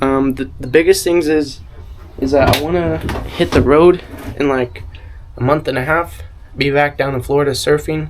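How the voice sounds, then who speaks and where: A man's fairly high-pitched, lively speech at a moderate pace, broken by long, frequent pauses, over noticeable background noise. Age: 20s. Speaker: surfer and filmmaker. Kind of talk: casual talk to camera.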